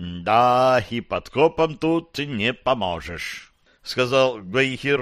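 The text is simply read aloud in a plain way.

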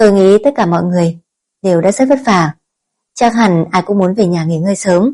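The passage is read aloud in a natural voice. Pitch variation is ordinary, and the background stays quiet.

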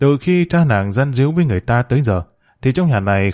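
Lively intonation in an unforced reading voice

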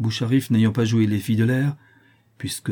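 The intonation holds fairly even. Someone does plain reading aloud.

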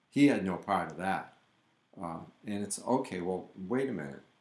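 The man's pitch sits fairly low, with ordinary pitch variation. Audible room echo surrounds his voice. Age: 60s. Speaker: podcast co-host, painter. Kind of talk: casual chat.

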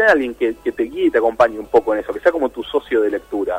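Fast and enthusiastic, the voice has a husky, rough edge and big pitch swings, recorded with a dry, close sound with no echo. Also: man.

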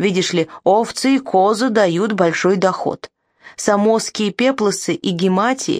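The clip is plain reading aloud with ordinary pitch variation over a quiet background.

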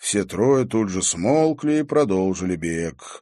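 This is a natural reading voice. The speaker reads in a natural reading voice.

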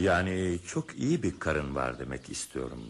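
At a moderate pace, a man uses a put-on character voice with a low pitch, big pitch swings and vocal fry.

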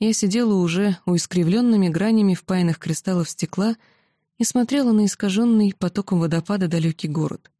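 Pitch shifts in an ordinary way through a natural reading voice. Nothing much is heard behind it.

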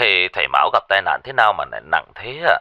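Fast and low-pitched, a man does a put-on character voice with big pitch swings and a bright, sharp tone in a dry, close sound with no echo.

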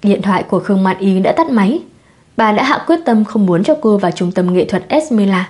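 Lively intonation in an unforced reading voice

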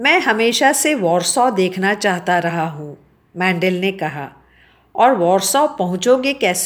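An unforced reading voice carries lively intonation from line to line.

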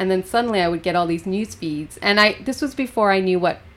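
At a fairly quick pace, a woman with a Western Canadian accent speaks at a medium pitch with ordinary pitch variation. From Canada, British Columbia (Golden). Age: 40s. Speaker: poet. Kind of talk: casual chat. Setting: studio.

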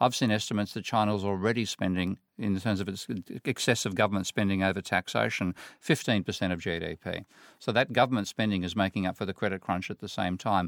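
A man with an Australian accent at a very fast pace and a fairly low pitch, with fairly even intonation, on a very clean, dry, close recording with a silent background and no echo. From Australia, Sydney. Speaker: economics professor. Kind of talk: panel discussion. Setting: studio.

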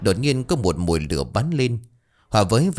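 There is a natural voice reading aloud here. Little else is heard, the background being quiet.

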